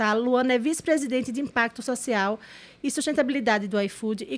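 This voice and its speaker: A woman speaks in a northeastern Brazilian accent with a high pitch. Her pitch varies in an ordinary way. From Brazilian Northeast. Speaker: podcast host and corporate consultant. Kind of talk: podcast interview.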